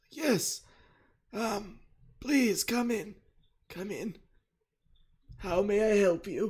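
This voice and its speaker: In a put-on character voice that is raspy and hoarse, the speaker talks at a fairly high pitch and a very slow pace, with long, frequent pauses. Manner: polite, tired.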